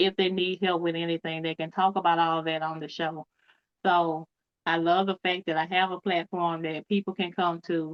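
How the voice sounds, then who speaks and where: A woman's fairly low voice in a strong Southern US accent, at a moderate pace, with monotone, flat intonation. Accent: deep Cajun-like Southern US. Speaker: author and cancer advocate. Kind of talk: podcast interview.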